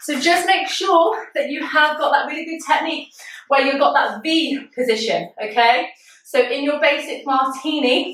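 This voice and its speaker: The moderately paced speech shows ordinary pitch variation, with noticeable background noise present. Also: woman. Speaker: pole fitness instructor. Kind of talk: live online fitness class. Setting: video call. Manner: animated.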